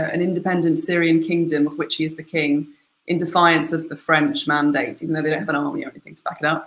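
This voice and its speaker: A woman's fairly low voice is wrapped in audible room echo. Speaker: guest. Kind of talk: book talk summary. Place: home room. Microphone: webcam.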